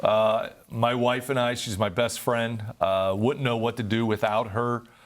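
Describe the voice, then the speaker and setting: Here a man with an American accent talks at a medium pitch and a fairly slow pace. His intonation is monotone and flat. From Northeast Ohio. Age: 60s. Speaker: nonprofit founder and former business executive. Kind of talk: interview.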